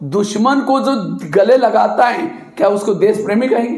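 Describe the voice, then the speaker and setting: An animated man with a high pitch and lively intonation, amid audible room echo and noticeable background noise. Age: 60s. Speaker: spiritual speaker. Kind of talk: motivational talk to students. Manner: animated, rhetorical questions.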